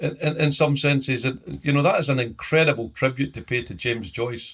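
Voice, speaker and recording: Somewhat breathy and fairly high in pitch, a man with a Scottish accent speaks at a fairly quick pace with fairly even intonation. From Scottish Highlands. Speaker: professor, strategist. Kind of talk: interview answer.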